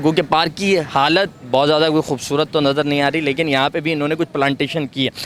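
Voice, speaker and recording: Over noticeable background noise, a man speaks in a monotone, flat intonation at very even loudness. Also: fairly high pitch for a man. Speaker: TV show host. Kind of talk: street report to camera.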